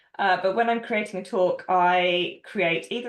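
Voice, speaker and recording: A woman with a plain, everyday voice talks at medium pitch and a moderate pace, her pitch varying in an ordinary way. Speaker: developer advocate. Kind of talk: panel Q&A answer.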